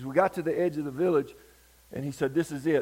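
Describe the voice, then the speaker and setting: A man speaks very fast with a Southern US accent, his pitch fairly high. His tone is dark and mellow. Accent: Southern US (Georgia). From US South, Georgia. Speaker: revival preacher. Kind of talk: sermon.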